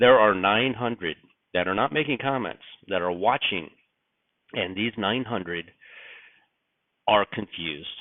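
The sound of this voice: A raspy put-on character voice moves at a moderate pace, broken by long, frequent pauses. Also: man, fairly low pitch for a man.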